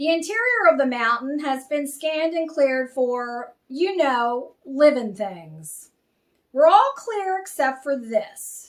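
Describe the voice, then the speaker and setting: A woman's gruff, put-on character voice, high in pitch, with very wide pitch swings and a fairly slow pace. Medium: read story.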